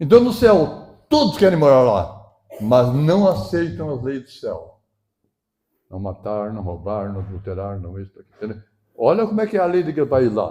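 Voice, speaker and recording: A man speaks at a moderate pace in a dark, mellow, somewhat breathy tone. His pitch swings very widely and his loudness shifts in big swings. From southern Brazil, Rio Grande do Sul. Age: 70s. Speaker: pastor. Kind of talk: sermon. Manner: animated.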